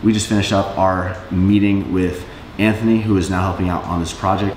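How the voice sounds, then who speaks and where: Audible room echo and light background noise surround a man with a fairly low pitch. He talks at a fairly quick pace with fairly even intonation. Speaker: business owner vlogger. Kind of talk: casual vlog chat. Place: office. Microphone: camera far.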